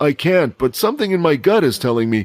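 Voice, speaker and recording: Using a put-on character voice, a man speaks very fast at a fairly high pitch. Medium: audio drama.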